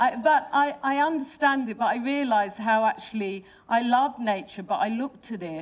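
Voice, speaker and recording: A woman with a London accent, high in pitch, fairly quick with hardly any pauses and with lively intonation. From London, England. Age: 60s. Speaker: artist and designer. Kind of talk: panel talk with slides. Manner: halting, many fillers and restarts.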